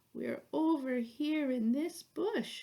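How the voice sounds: A woman puts on a character voice. It is pitched high, with lively intonation.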